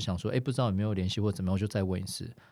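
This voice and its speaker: A man speaks with fairly even intonation in a fairly low, dark and mellow voice, on a very clean recording with a silent background. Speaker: former artist manager, now insurance agent. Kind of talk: casual chat.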